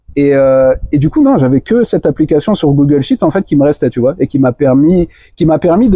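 A man with a fairly high pitch and a dark, mellow tone, fairly quick pace, ordinary pitch variation, and a dry, close sound with no echo. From France. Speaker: no-code web developer and trainer. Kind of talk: interview conversation. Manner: halting, many repetitions.

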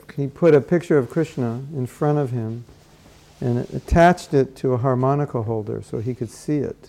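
This man has a dark, mellow tone and a medium pitch with ordinary pitch variation. He speaks at a moderate pace with an American accent. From Southern California. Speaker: spiritual teacher. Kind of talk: workshop lecture with live translation. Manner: short phrases paused for interpreter.

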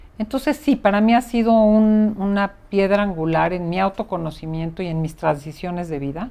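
A woman with a dark, mellow tone and medium pitch speaks at a moderate pace with lively intonation and hardly any pauses. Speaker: psychotherapist and podcast host. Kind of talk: conversational interview.

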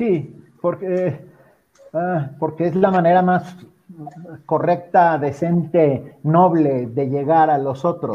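With long, frequent pauses, a high-pitched man speaks at a very slow pace. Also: ordinary pitch variation. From Mexico. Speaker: writer and radio director. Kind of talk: panel discussion.

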